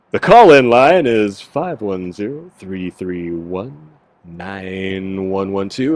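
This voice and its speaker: Putting on a booming character voice, a man speaks very slowly at a fairly low pitch. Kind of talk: announcer.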